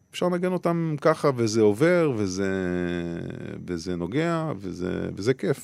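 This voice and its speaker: Fairly low male voice with very wide pitch swings. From Israel, Beersheba. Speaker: musician and labor activist. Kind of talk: interview. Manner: halting.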